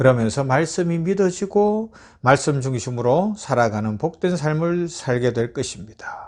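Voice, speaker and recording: Against a quiet background, a man with a slight Gyeongsang accent speaks fairly slowly at a fairly high pitch with lively intonation. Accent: slight Gyeongsang dialect remains. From Gyeongsang province, South Korea. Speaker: pastor. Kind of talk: sermon.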